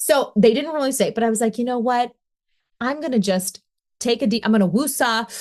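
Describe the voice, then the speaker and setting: Against a quiet background, a woman talks at a fairly quick pace in a high pitch with an animated tone. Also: ordinary pitch variation. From Pittsburgh, Pennsylvania. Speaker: former newscaster turned podcaster. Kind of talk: casual interview chat. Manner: animated storytelling.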